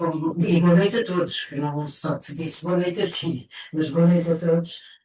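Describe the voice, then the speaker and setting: Here a woman talks with a fairly low pitch. Her intonation is monotone and flat. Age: 60s. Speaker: testimonial giver. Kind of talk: testimony. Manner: halting.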